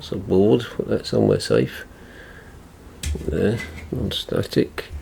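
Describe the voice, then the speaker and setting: A man with an English accent at a very slow pace, over noticeable background noise. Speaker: tech repair youtuber. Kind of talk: tutorial. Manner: mumbling; halting.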